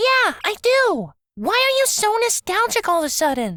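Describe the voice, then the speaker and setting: A woman puts on a squeaky character voice at an extremely high pitch, with very wide pitch swings. She keeps a moderate pace and very even loudness. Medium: read story.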